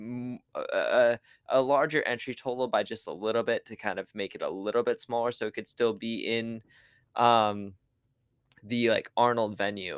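A man with an ordinary speaking voice talks at a moderate pace and medium pitch, recorded dry and close with no echo. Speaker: podcast host. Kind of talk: casual interview.

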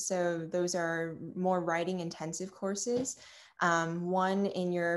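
A woman with an American accent talks at a fairly slow pace. Her medium-pitched delivery is an ordinary speaking voice. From Long Island, New York. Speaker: college student. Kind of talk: casual interview.

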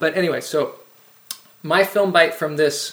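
Delivered at a moderate pace with fairly even intonation, a man's fairly high-pitched voice sounds like an unremarkable speaking voice. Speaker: film show host. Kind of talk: interview.

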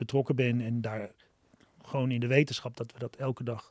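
A man speaks at a moderate pace in a somewhat breathy voice, on a very clean recording with a silent background. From Amsterdam, Netherlands. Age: 50s. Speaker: social entrepreneur, restaurant founder. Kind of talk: podcast interview. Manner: halting, many fillers and repetitions.

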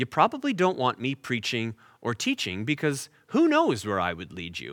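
With a Canadian accent, a man speaks at a fairly high pitch with very wide pitch swings, vocal fry and a bright, sharp tone, in a dry, close sound with no echo. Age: 40s. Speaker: pastor. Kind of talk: sermon. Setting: online church service.

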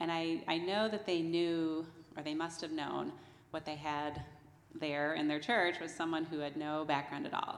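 The speaker has an American accent and ordinary pitch variation. Audible room echo surrounds the voice. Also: woman. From New Jersey. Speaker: church member. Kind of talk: testimony. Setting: church.

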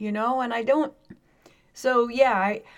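A woman speaks at a moderate pace, her pitch fairly high. She has a plain, everyday voice. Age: 60s. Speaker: podcast co-host. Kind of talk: casual chat.

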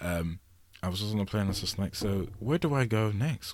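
In an English accent, a man speaks with a dark, mellow tone. His intonation is lively and his pace moderate. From England. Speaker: solo podcast host. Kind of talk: casual monologue. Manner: rambling, many fillers.

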